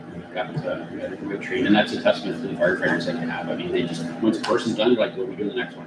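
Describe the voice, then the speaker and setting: A man rattles along very fast amid audible room echo and noticeable background noise. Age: 50s. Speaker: fire chief. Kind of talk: council meeting report.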